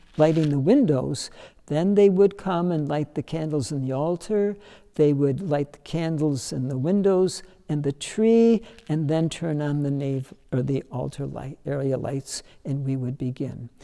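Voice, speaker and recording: Against a quiet background, a man speaks fairly slowly in a dark, mellow tone with ordinary pitch variation. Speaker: longtime church member or former pastor. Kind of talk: interview answer. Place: church. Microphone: lapel.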